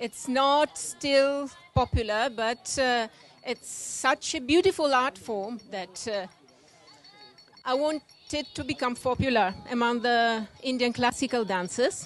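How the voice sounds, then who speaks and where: This woman has an Italian accent and a high-pitched voice. Her pitch varies in an ordinary way, and she talks at a very slow pace. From Italy, Rome. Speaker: classical dancer. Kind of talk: lecture demonstration. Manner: halting.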